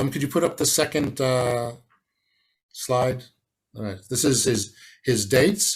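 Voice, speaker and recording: The speaker has an Israeli accent and a somewhat breathy voice, moving at a moderate pace. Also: man. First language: Hebrew. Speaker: academic historian. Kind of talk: conference lecture. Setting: online conference from home. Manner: halting, many fillers.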